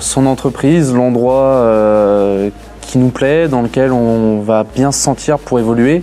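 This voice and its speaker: Music plays behind a man with a medium-pitched voice. He talks at a very slow pace, his pitch varying in an ordinary way. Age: 20s. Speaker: graduate apprentice. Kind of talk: interview testimony. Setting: graduation ceremony. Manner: hesitant, many fillers and repetitions.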